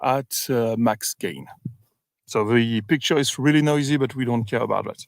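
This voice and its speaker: A man with a French accent is heard on a very clean recording with a silent background, the sound dry and close with no echo. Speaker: UAP researcher livestreamer. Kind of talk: casual livestream commentary. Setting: outdoors in the field. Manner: halting, many fillers.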